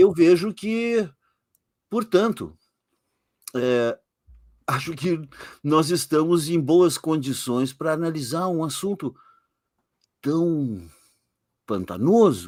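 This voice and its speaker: A man with a fairly high pitch and lively intonation speaks at a very slow pace, leaving long, frequent pauses. The recording is very clean, with a silent background. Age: 60s. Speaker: occultist author. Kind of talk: interview on live podcast. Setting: live stream.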